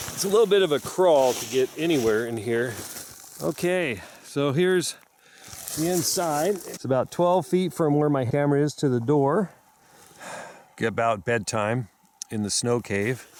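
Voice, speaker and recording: Over noticeable background noise, a man with a fairly high pitch talks at a moderate pace with lively intonation, leaving long, frequent pauses. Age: 50s. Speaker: wilderness adventurer. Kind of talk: audition video. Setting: outdoors. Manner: halting.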